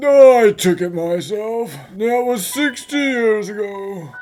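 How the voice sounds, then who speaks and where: A man's put-on character voice, high-pitched and fairly slow, with lively intonation and faint music in the background. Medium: fan dub.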